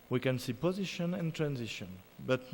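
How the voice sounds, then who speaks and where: This man has a French accent. His delivery rises and falls in a lively way. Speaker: musicologist. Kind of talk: lecture. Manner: halting.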